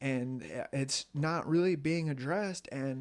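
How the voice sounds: A man at a slow pace, with medium pitch and ordinary pitch variation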